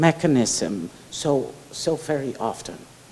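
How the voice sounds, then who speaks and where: A woman's delivery is very slow, and her pitch varies in an ordinary way. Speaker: professor, keynote speaker. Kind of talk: academic Q&A answers. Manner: hesitant, many fillers and restarts.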